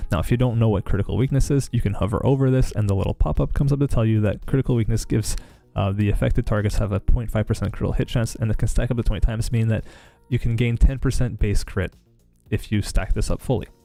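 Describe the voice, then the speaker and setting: This man's voice has a dark, mellow tone and medium pitch. He speaks at a very fast pace. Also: ordinary pitch variation. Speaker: gaming streamer. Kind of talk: live stream tutorial. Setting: live stream. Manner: casual, filler-heavy.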